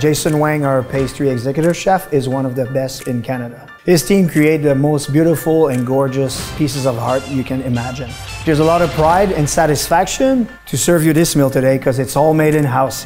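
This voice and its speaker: Faint music plays in the background as a man speaks at a moderate pace. He uses ordinary pitch variation and hardly any pauses. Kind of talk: promotional interview. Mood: proud, warm. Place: kitchen. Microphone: lapel.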